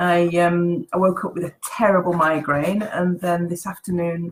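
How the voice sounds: Her voice is husky and croaky, a woman's voice with a fairly low pitch and fairly even intonation.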